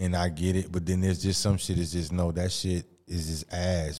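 This man talks in a monotone, flat manner with a very deep, low pitch. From Mississippi. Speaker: podcast host. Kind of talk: casual chat.

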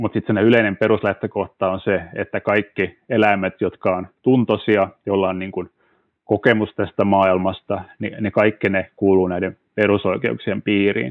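Here a man speaks at a fairly low pitch. His intonation stays fairly even. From Finland, Turku. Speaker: legal researcher. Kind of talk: interview. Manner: hesitant, many fillers.

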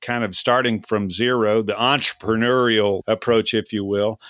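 This man has an unremarkable speaking voice at medium pitch, delivered at a moderate pace. The sound is dry and close with no echo, on a very clean recording with a silent background. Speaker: podcast host. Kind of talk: casual interview.

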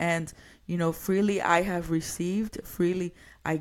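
On a very clean recording with a silent background, a woman speaks with an American accent and an unremarkable speaking voice. Her pitch is fairly low and her pace fairly slow. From New York. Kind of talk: solo podcast monologue. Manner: casual, conversational.

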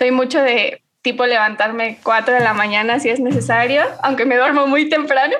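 At a moderate pace, a woman with a high pitch speaks in fairly even intonation and at very even loudness. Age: 30s. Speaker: civil engineering lecturer and YouTuber. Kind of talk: casual chat.

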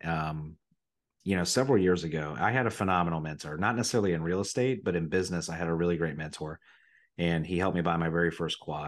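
Over a quiet background, a man talks at a very fast pace. His voice is very deep and low, with ordinary pitch variation. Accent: Midwestern American. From Ohio, Riverside near Dayton. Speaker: real estate investor. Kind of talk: casual chat. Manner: animated.

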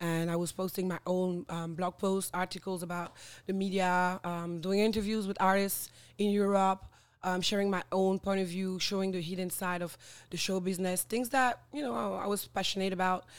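A woman with a French accent, medium pitch and fairly even intonation at a moderate pace, on a very clean recording with a silent background. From French Guiana. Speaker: social media influencer and former radio host. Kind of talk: casual interview chat. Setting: podcast recording.

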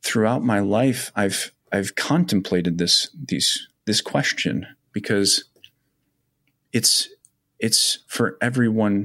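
A man with an American accent speaks in an ordinary speaking voice, fairly low in pitch with ordinary pitch variation. The recording is very clean, with a silent background. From US Midwest, Wisconsin. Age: 30s. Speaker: army veteran and mental health advocate. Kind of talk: interview testimony.

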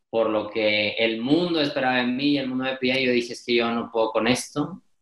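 With a normal speaking voice, a man talks at a medium pitch and moderate pace, showing ordinary pitch variation. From Mexico, Monterrey. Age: 20s. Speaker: podcaster and speaker. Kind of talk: interview.

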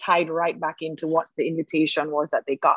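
A woman with an ordinary speaking voice and a fairly low pitch talks at a fairly quick pace in a dry, close recording with no echo. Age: 40s. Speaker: furniture maker and business owner. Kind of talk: interview.

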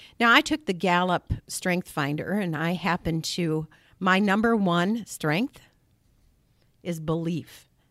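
A woman with an American accent speaks very slowly at a fairly low pitch, with ordinary pitch variation. The recording is very clean and silent behind her, with a dry, close sound and no echo. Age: 60s. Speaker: state senator. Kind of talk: interview. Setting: studio.

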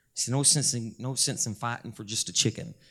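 Over a very clean recording with a silent background, a man speaks at a fairly quick pace in a medium pitch with vocal fry. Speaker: preacher. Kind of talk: sermon. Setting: church with congregation. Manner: humorous, storytelling, preacher's cadence.

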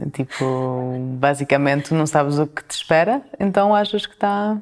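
This woman's voice sits at a fairly low pitch. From France and Portugal. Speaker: chef and restaurant owner. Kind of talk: interview. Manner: halting.

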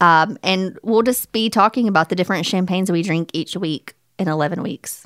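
Dry and close with no echo, a woman's ordinary speaking voice comes at medium pitch, fairly quick pace and ordinary pitch variation. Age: 30s. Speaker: podcast co-host, attorney. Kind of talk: casual chat.

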